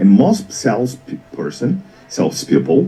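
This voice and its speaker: A man with a Portuguese accent speaks with very wide pitch swings. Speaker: business mentor. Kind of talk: talk show interview. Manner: repeats and restarts words.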